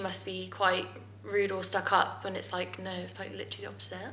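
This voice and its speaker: A woman talks rather briskly, with audible room echo and clear background noise around her. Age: 20s. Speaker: social media influencer. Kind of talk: casual chat.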